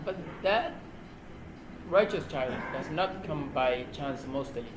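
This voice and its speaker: A man with a Somali accent speaks at a fairly slow pace and a fairly high pitch, with lively intonation. There is noticeable background noise and audible room echo. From Somalia, central region near Beledweyne, later Mogadishu. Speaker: imam and youth speaker. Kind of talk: interview.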